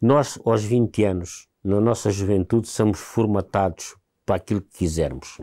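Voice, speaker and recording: A man's dark, mellow voice in a dry, close sound with no echo, on a very clean recording with a silent background. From Alentejo, Portugal (Montemor-o-Novo). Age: 60s. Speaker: war veteran. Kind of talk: interview testimony.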